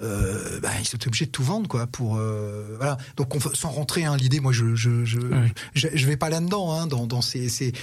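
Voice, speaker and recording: In a plain, everyday voice, a man speaks at a moderate pace and medium pitch, with ordinary pitch variation and hardly any pauses. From Paris region, France (Antony). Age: 60s. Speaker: podcast guest. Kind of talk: casual chat.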